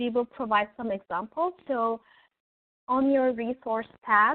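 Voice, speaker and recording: A woman's high-pitched voice with a Turkish accent, at a fairly slow pace with ordinary pitch variation. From Turkey. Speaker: early childhood education professor. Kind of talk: webinar presentation. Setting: online webinar. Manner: hesitant, frequent filler words.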